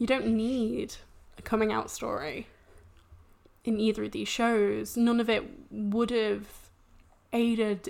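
A woman with an English accent speaks at a very slow pace. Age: 20s. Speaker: science communicator. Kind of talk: casual chat.

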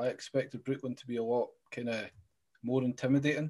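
A man speaks in a Scottish accent at a fairly quick pace. His medium-pitched voice sits against a quiet background. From Scotland. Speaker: podcast host. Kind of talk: casual interview.

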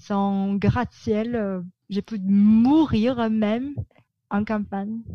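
A woman speaks at a very slow pace, her pitch fairly high. Her tone is dark and mellow, with a somewhat breathy quality. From Philippines, Manila. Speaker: publicist. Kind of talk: interview. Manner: halting.

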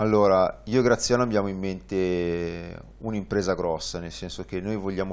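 At a fairly slow pace, a man talks in a normal speaking voice, fairly low in pitch, with fairly even intonation. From northern Italy, Varese. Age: 30s. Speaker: tandem cycling guide pilot. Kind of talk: interview. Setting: studio.

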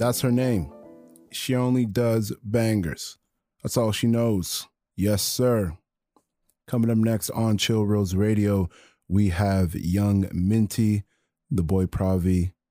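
A man speaks at a very slow pace in a fairly low pitch with a warm tone and ordinary pitch variation. His loudness stays very even, broken by long, frequent pauses. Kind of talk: radio DJ patter: live campus-radio show intros, new-music teases and sign-off. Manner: warm, positive and encouraging, with catchphrases.

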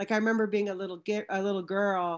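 A woman with a Western Canadian accent at medium pitch, monotone and flat, at a fairly quick pace in a very clean recording with a silent background. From Canada, British Columbia (Vancouver area). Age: 40s. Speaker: physical education teacher and children's sport advocate. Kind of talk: casual chat.

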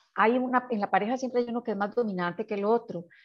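A woman's fairly high voice, an unremarkable speaking voice, with ordinary pitch variation over a quiet background. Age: 60s. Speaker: psychologist. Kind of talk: interview.

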